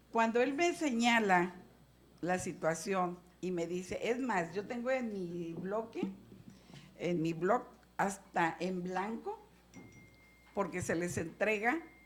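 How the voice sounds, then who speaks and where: A woman's medium-pitched voice at a very slow pace, with long, frequent pauses and audible room echo. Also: ordinary pitch variation. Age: 60s. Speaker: legislator. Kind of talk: legislative meeting remarks.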